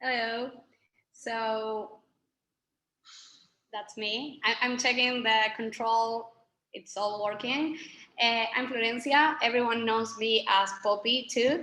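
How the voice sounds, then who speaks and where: Speaking very slowly with long, frequent pauses, a woman with a Spanish accent has a fairly high pitch, a bright, sharp tone and fairly even intonation. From Argentina. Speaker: communications manager for a nonprofit. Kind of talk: webinar presentation.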